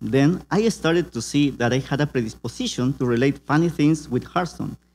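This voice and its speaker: A man with a Peruvian accent and a fairly high pitch, moderate pace and ordinary pitch variation, on a very clean recording with a silent background. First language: Spanish. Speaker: community organizer and meme creator. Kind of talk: conference presentation. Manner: halting.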